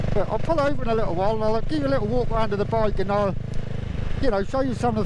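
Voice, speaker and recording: Over loud background noise, the speech comes at a very fast pace with a dry sound and no echo. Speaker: motovlogger. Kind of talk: casual vlog chat. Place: motorbike. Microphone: helmet.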